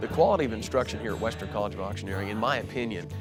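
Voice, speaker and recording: Music plays in the background. A man talks at a very fast pace in a fairly low pitch with lively intonation. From Montana, USA. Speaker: auctioneer and auction school instructor. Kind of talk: promotional interview talking about his career. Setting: interview for school promo video.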